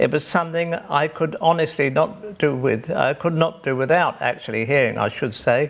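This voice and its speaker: A man with an English accent talks at a fairly slow pace with ordinary pitch variation. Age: 70s. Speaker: deaf pianist. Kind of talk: personal testimony.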